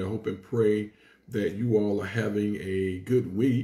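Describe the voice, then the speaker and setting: Against audible room echo, a man speaks slowly in a dark, mellow, somewhat breathy voice at a fairly low pitch, keeping his intonation fairly even. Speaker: pastor. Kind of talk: livestream greeting before Bible study. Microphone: phone near.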